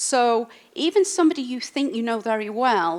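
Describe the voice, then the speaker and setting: A woman speaks in an English accent at a fairly quick pace with lively intonation. The recording is very clean, with a silent background. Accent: English accent she keeps. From England. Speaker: industrial designer. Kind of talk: talk to audience. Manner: casual with fillers.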